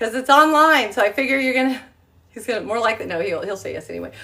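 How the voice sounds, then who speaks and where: Projecting and raised, this woman's voice carries. Its pitch rises and falls across a very wide range. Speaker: travel agent and home-cooking livestreamer. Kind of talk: casual livestream chat. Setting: live video from her home kitchen. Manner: rambling with many fillers (um, uh).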